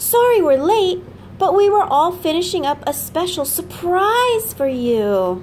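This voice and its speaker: Clear background noise accompanies a woman at a fairly slow pace. She uses a put-on character voice at an extremely high pitch. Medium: read story. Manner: cheerful, excitable.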